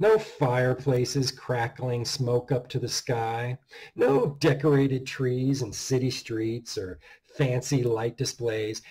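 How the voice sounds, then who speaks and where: Against a quiet background, a man with a dark, mellow, somewhat breathy tone talks at a very slow pace with fairly even intonation. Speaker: horror author reading his own story. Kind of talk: dark Christmas horror story narration. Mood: dark, measured narration. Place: home room. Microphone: webcam.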